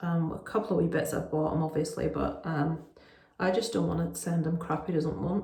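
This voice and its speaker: Noticeable background noise sits behind a woman who talks at a fairly quick pace. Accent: Northern Irish. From Northern Ireland. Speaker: parent vlogger. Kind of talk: casual talk to camera.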